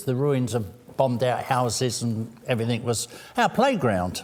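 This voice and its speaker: This man speaks with an English accent at a moderate pace. His pitch sits in the medium range. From London, England. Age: 70s. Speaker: city council candidate. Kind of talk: interview. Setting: live-streamed candidate forum.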